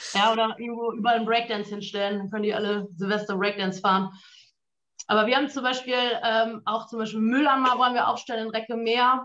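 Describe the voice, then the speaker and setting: This woman has an ordinary speaking voice with a fairly high pitch. She talks at a fairly quick pace with fairly even intonation. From northern Germany, Münsterland. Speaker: photographer and state election candidate. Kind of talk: political discussion.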